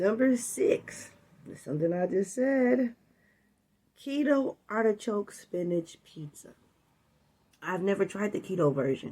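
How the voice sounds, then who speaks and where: A woman with an American accent, long, frequent pauses, very wide pitch swings and big swings in loudness. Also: medium pitch for a woman. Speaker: food and weight-loss vlogger. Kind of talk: casual talk to camera. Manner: animated.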